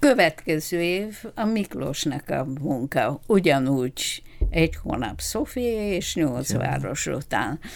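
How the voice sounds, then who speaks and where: With a Bulgarian accent and a very deep, low pitch, a woman speaks at a very slow pace with hardly any pauses and very wide pitch swings, on a very clean recording with a silent background. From Bulgaria, Ruse region. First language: Bulgarian (speaking Hungarian). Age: 80s+. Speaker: retired doctor. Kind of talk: interview. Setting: studio.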